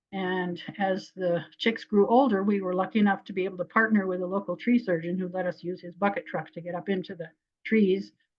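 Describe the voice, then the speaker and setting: A somewhat breathy woman's voice at medium pitch, fairly quick, with fairly even intonation. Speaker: wildlife biologist. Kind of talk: lecture. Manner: fast.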